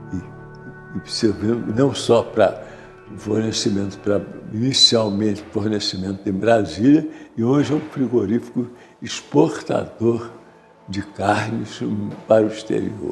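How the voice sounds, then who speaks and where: Fairly slow speech from a man at a fairly low pitch, with ordinary pitch variation and music in the background. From Rio de Janeiro, Brazil. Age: 80s+. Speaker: war veteran and businessman. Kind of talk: oral history interview. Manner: halting, many repetitions and fillers.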